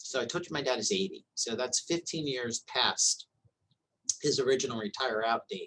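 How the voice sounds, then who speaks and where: In a dry, close recording with no echo, a man speaks at a moderate pace. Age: 50s. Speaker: hospital executive. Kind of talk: interview. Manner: halting.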